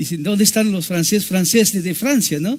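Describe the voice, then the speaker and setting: In a French accent, a man speaks with ordinary pitch variation. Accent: French accent in Spanish, non-native. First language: French (speaking Spanish). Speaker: missionary preacher. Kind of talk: sermon. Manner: halting.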